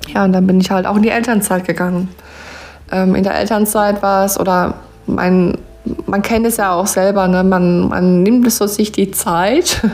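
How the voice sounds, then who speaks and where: A woman speaks at a medium pitch and moderate pace in monotone, flat intonation. Her loudness stays very even over noticeable background noise. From Palatinate (Pfalz), southwestern Germany. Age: 20s. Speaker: podcaster and network marketer, mother. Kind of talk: personal storytelling and motivational talk.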